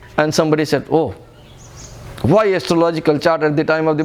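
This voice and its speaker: Speaking over noticeable background noise, a man with an Indian accent has a fairly high voice. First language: Hindi. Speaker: spiritual teacher. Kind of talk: lecture. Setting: retreat in an ashram.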